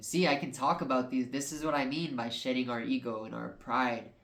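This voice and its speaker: Audible room echo surrounds speech delivered at a medium tempo. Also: man. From New Mexico, Albuquerque. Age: 20s. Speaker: podcast host. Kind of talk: personal monologue. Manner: halting.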